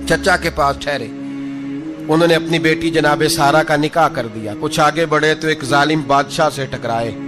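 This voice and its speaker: A man's voice sits fairly high in pitch. Behind him, music can be heard. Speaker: Islamic preacher giving a religious lecture. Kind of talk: religious sermon (bayan) telling a prophet's story. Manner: animated, storytelling, conversational.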